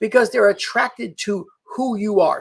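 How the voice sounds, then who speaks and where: A slight New York accent in a very clean recording with a silent background. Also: man. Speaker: LinkedIn marketing coach. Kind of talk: live stream talk. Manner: fast; direct, in your face.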